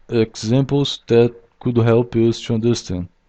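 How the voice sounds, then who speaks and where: With a non-native accent, a man talks very slowly. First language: not English. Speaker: software developer. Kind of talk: tutorial. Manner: halting, many fillers.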